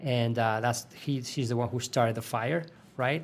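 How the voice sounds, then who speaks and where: Speaking at a moderate pace with a Spanish accent, a man of medium pitch keeps a fairly even intonation on a very clean recording with a silent background. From Spain. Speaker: sports physiologist. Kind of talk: interview. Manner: hesitant, many fillers and repetitions.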